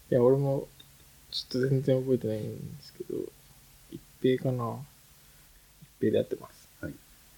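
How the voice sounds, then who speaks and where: At a moderate pace, a man talks with long, frequent pauses and big swings in loudness. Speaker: book podcast co-host. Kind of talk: casual chat.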